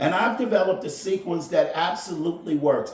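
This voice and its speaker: Loud and high-pitched for a man, this speaker talks at a moderate pace against noticeable background noise. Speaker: golf instructor and podcaster. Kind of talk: casual monologue podcast.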